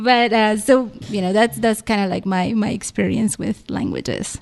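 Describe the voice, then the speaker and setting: Speaking at a fairly slow pace with a Spanish accent, the voice keeps a fairly even intonation. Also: woman. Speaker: library staff, language resources guest. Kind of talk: radio interview. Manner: hesitant, many fillers.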